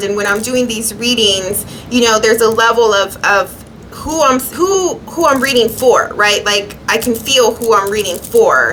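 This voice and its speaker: A woman's fairly high voice with ordinary pitch variation, amid noticeable background noise. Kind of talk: tarot reading monologue. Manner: halting.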